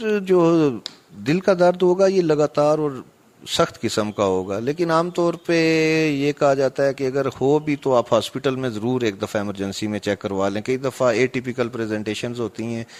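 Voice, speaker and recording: With a plain, everyday voice, a man at medium pitch uses lively intonation in a very clean recording with a silent background. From Mirpur, Azad Kashmir. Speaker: cardiologist. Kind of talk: expert interview.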